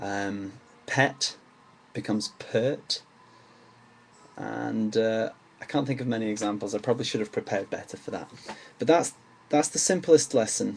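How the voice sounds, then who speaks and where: This man has an English accent and a medium pitch. His pitch varies in an ordinary way, and he leaves long, frequent pauses. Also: moderate pace. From England. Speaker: amateur accent teacher. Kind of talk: tutorial. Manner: hesitant, many fillers.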